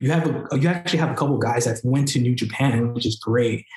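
The man talks at a very fast pace. Ordinary variation marks his pitch. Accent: New York. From New York, Queens. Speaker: wrestler. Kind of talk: casual chat.

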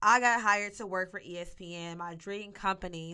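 In an American accent, a woman speaks at a moderate pace in a bright, sharp tone with ordinary pitch variation, on a very clean recording with a silent background. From US South, Arkansas (Monticello, southeast Arkansas). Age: 20s. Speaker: podcast host. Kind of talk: monologue podcast introduction.

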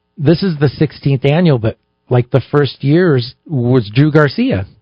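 A man's somewhat breathy voice, fairly high pitch with ordinary pitch variation, at a fairly slow pace. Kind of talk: relaxed on-air radio banter with the host, casual back-and-forth chat. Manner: easygoing, laughing, conversational, with short agreeable replies.

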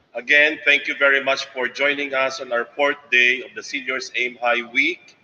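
A man speaks at a moderate pace with a medium pitch. His intonation stays monotone and flat. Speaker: school official. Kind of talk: welcome speech. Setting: video call.

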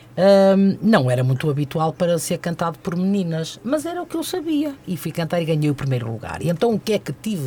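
The delivery moves at a fairly quick pace with hardly any pauses. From Custóias, Porto area, northern Portugal. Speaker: fado singer, retired TV station worker. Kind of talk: radio interview. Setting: radio studio.

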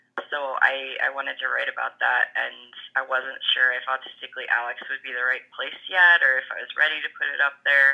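Noticeable background noise sits under the speech. The delivery is fairly quick, with hardly any pauses. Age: 30s. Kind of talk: interview.

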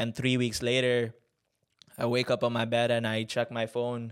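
On a very clean recording with a silent background, a man speaks at medium pitch with monotone, flat intonation. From Tanzania (Moshi). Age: 20s. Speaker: podcast host. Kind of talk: casual storytelling monologue. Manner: filler-heavy, casual.

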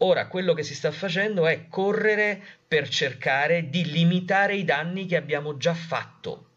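A high-voiced man at a moderate pace with ordinary pitch variation. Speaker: journalist and science communicator. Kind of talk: interview conversation. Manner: halting, many fillers.

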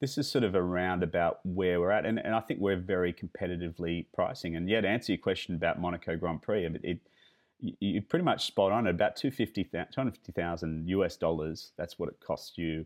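A man with an Australian accent talks very fast in a very deep, low voice. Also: ordinary pitch variation. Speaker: luxury driving tour company founder. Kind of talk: interview. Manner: halting, many fillers and repetitions.

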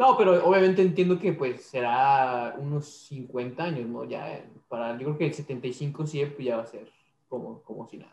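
A man talks at a moderate pace with a fairly high pitch, ordinary pitch variation and big swings in loudness. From Mexico City. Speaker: podcast co-host, mechatronics engineer. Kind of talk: interview.

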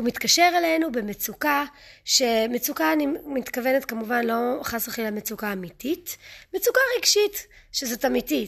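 Speaking at a moderate pace, a woman with a high pitch lets her voice swing very widely up and down. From United States, moved to Israel at eight. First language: English (speaking Hebrew). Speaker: parenting coach. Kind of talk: podcast monologue. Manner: halting, self-correcting.

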